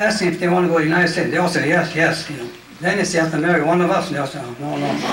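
Noticeable background noise sits under a man's high voice, which moves with ordinary pitch variation. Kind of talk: public talk, personal memoir. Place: hall. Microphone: handheld.

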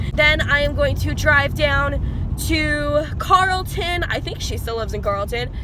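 Heard over noticeable background noise, a woman speaks at a fairly slow pace in a dry sound with no echo. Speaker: vlogger. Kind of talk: casual vlog chat. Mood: excited, happy. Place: car. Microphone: phone near.

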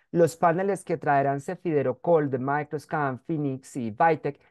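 This man talks at a fairly slow pace with ordinary pitch variation and a dark, mellow tone. The sound is dry and close with no echo, over a quiet background. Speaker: microbiology professor. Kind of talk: webinar lecture.

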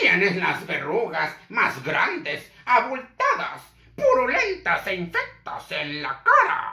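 Someone puts on a character voice and speaks at a very slow pace. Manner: gruff yet affectionate.

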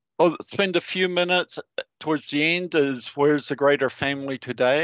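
In a dry sound with no echo and a quiet background, a man with a fairly high pitch speaks at a fairly quick pace with ordinary pitch variation. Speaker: geotechnical engineer; speaker. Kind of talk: presentation. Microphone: headset.

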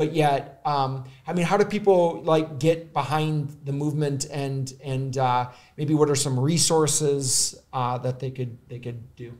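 Against a quiet background, a man with an American accent speaks at a fairly slow pace, his fairly high pitch held in fairly even intonation. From US Midwest. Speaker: podcast host. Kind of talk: casual interview. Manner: halting, many fillers. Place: studio. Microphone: studio mic.

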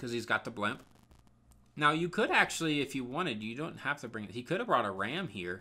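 At a fairly quick pace, a man talks in a medium voice with a bright, sharp tone and lively intonation. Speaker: gaming commentator. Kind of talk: video game war recap commentary. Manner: talkative, casual.

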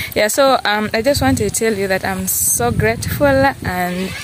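A woman talks very slowly while noticeable noise runs behind her. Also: dry sound with no echo. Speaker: village vlogger. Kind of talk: casual vlog chat. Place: open country. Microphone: phone near.

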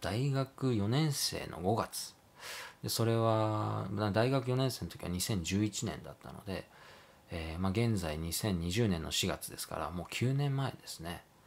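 A man speaks at a fairly slow pace in a fairly low voice. His intonation is lively, and his loudness swings widely. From Japan, moved around incl. Hiroshima, Hokkaido, US, Canada; Japan. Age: 30s. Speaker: photographer. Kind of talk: casual monologue vlog; casual vlog chat, self-introduction. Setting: at home late at night. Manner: polite, hesitant with fillers. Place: home room.

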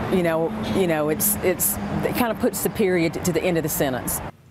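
A woman speaks at a fairly slow pace. Loud background noise surrounds her, while the sound itself is dry with no echo. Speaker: family member interviewed. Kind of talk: interview answer. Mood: proud, reflective. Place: garden.

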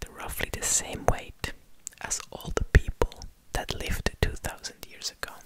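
Whispering man at a fairly slow pace under loud background noise. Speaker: ASMR creator. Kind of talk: soft-spoken ASMR fact talk. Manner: close-mic ASMR whisper. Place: studio. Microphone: studio mic.

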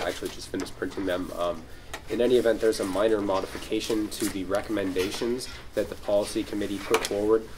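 A man's fairly low-pitched voice amid noticeable background noise. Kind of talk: meeting announcement. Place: meeting room. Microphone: camera far.

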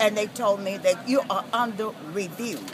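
The sound is dry with no echo. Noticeable background noise runs throughout. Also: woman. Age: 70s. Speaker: daycare provider; protester facing foreclosure. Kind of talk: interview answer at a street protest. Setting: outdoors. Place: street. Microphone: phone near.

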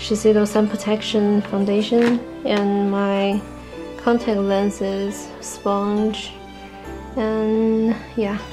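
Clear music plays in the background while the speaker talks at a very slow pace with long, frequent pauses. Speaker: beauty vlogger. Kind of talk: casual talk to camera. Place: home room.

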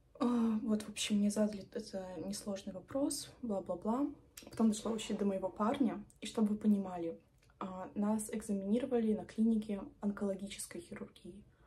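A fairly high-pitched woman's voice, dark, mellow and somewhat breathy, at a moderate pace with fairly even intonation and light background noise. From Belarus. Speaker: medical student and video blogger; medical student vlogger. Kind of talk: vlog monologue. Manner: chatty. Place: home room. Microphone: phone near.

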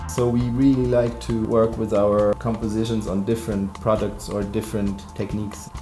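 A man speaks at a moderate pace with ordinary pitch variation while faint music plays in the background. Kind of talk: interview answer. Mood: enthusiastic, reflective. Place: studio.

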